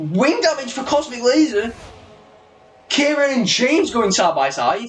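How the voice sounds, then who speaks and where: Music plays behind a man with a British accent and an extremely high pitch, who talks at a fairly slow pace with lively intonation. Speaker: sim racing league commentator. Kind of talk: live commentary. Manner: animated; high pitched when excited.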